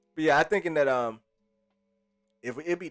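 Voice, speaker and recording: A man talks in an animated tone while music plays in the background. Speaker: livestream host. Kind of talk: casual livestream chat. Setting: live stream. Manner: animated, casual.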